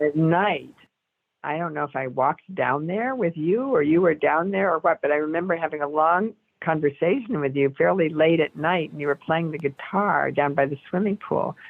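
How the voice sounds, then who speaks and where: With an American accent, a woman speaks in a very deep, low pitch at a moderate pace and with ordinary pitch variation. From New England (Cambridge, Massachusetts). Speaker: Zen teacher and writer. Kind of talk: interview conversation. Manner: halting, many fillers.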